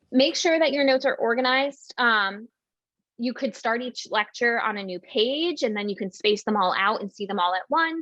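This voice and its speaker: A woman uses a normal speaking voice with lively intonation at a moderate pace. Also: fairly high pitch for a woman. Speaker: university learning consultant. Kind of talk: workshop presentation.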